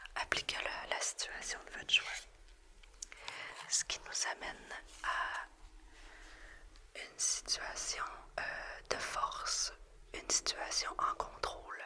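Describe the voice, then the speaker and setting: A woman whispers at a very slow pace, with long, frequent pauses, big swings in loudness and noticeable background noise. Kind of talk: ASMR tarot reading. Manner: whispered, soft-spoken.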